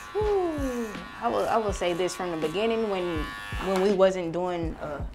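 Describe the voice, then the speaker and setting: Music plays in the background as a woman with an American accent talks at a fairly slow pace, with audible room echo. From Texas, Fort Worth. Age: 30s. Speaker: barber. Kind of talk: casual chat. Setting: barbershop suite.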